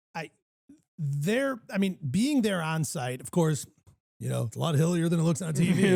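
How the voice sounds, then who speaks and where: A moderate pace paired with lively intonation. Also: man, high pitch for a man. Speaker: golf podcast host. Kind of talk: casual chat. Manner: stuttering at times.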